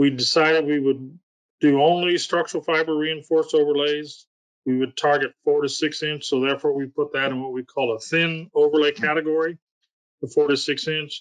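In an ordinary speaking voice, a man talks at a fairly quick pace with a fairly high pitch. His intonation is fairly even, and the sound is dry and close with no echo. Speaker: state highway engineer. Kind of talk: webinar presentation. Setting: video call.

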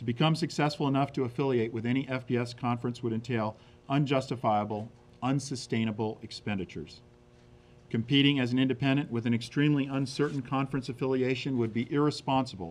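Words come from the man at a very fast pace. Intonation remains fairly even. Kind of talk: prepared statement. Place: meeting room. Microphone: podium.

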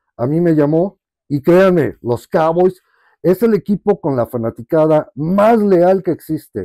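Over a quiet background, a man speaks at a fairly slow pace in a dark, mellow tone, the sound dry with no echo. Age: 50s. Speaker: sports fan and collector. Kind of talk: casual testimony. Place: home room. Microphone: lapel.

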